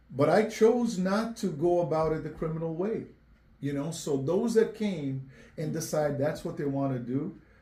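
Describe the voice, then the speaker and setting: A man's fairly high voice with a dark, mellow tone, a moderate pace and ordinary pitch variation, plus audible room echo. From Angola (born Cape Verde). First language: Portuguese. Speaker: mayoral candidate. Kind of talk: interview.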